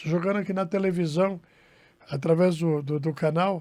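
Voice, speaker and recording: This man's voice sits high. He talks at a fairly quick pace. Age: 60s. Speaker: radio broadcaster. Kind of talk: interview. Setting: studio. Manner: halting.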